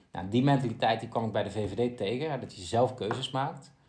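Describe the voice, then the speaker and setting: A man's medium-pitched voice at a moderate pace, with ordinary pitch variation and audible room echo. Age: 20s. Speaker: politician and podcast host. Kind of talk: interview (as guest).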